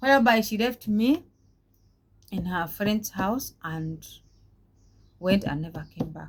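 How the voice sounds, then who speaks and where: A woman talks at a moderate pace, somewhat breathy. Her pitch varies in an ordinary way. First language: Swahili. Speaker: vlogger, domestic worker. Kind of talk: personal life story vlog. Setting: talking to camera. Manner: halting, with many repetitions.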